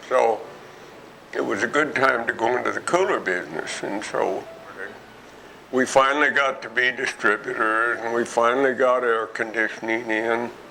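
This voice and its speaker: At a moderate pace and medium pitch, a man speaks with ordinary pitch variation against noticeable background noise. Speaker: retired businessman. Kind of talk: interview. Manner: halting.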